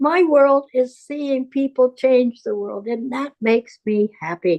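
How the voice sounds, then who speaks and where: A woman speaks at a high pitch and a very slow pace, in a dark, mellow tone. Her intonation is lively, and the sound is dry and close with no echo. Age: 80s+. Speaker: home birth midwife. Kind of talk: casual chat.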